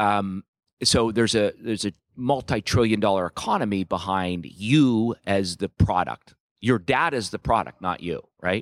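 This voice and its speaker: A man speaks with an unremarkable speaking voice at a fairly low pitch and a moderate pace, with ordinary pitch variation. The sound is dry and close with no echo, on a very clean recording with a silent background. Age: 40s. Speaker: security company executive. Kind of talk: interview. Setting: live at a tech conference.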